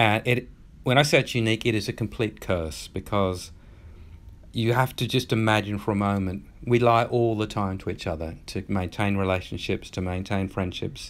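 This man has an Australian accent. Ordinary pitch variation runs through his speech. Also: moderate pace, very clean recording, silent background. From rural Australia. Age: 50s. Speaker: author. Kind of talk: interview.

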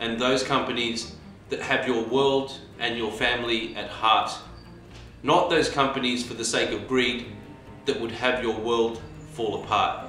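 Fairly slow speech with monotone, flat intonation and long, frequent pauses carries through audible room echo with faint music in the background. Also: man. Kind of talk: prepared address to viewers. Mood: earnest, calm.

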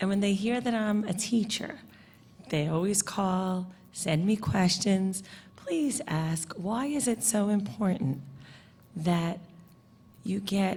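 Speaking at a fairly slow pace in a New York accent, a woman sounds somewhat breathy, with lively intonation. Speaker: parent and teacher. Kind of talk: public comment.

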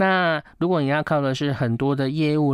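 In a dry recording with no echo and a quiet background, a man with a Taiwanese accent and a fairly high pitch speaks at a moderate pace. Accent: Taiwanese Mandarin. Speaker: feng shui consultant. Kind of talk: casual chat. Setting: studio. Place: studio.

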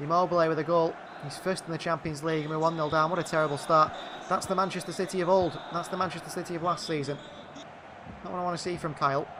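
Over noticeable background noise, a man with a high pitch speaks at a very fast pace in an excited tone. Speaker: video game commentator. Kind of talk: live commentary over gameplay. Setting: gaming video channel voiceover. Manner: rapid-fire, clipped play-by-play; excited, reacting to goals.

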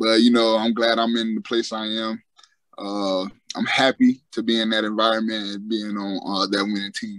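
With an American accent and monotone, flat intonation, a man talks at a moderate pace over a quiet background, the sound dry with no echo. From South Florida, Fort Lauderdale. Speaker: professional football player. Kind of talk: podcast interview. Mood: relaxed, friendly. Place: home room. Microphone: video call.

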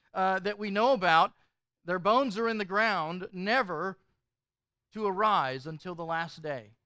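A man's bright, sharp voice at a moderate pace, dry with no echo, over a quiet background. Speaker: pastor. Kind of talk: sermon. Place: hall.

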